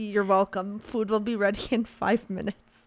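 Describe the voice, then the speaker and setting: In a put-on character voice, a woman speaks hoarsely at medium pitch and a moderate pace, her intonation monotone and flat, the sound dry and close with no echo. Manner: calm, matter-of-fact.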